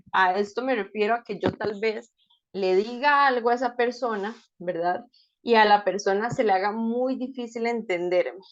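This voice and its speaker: Over a quiet background, a woman talks at a moderate pace in an unremarkable speaking voice, fairly high in pitch with fairly even intonation. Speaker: speech-language therapist giving a talk. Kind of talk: lecture.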